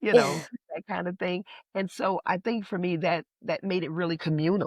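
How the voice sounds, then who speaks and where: With a New Orleans accent, a woman talks at a moderate pace in a dry, close sound with no echo. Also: medium pitch for a woman, ordinary pitch variation. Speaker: playwright and priestess. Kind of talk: interview answer.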